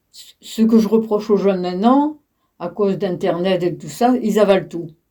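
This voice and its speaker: A woman with a dark, mellow tone speaks at a moderate pace with ordinary pitch variation and big swings in loudness. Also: medium pitch for a woman. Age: 80s+. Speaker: retired teacher. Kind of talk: interview. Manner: halting.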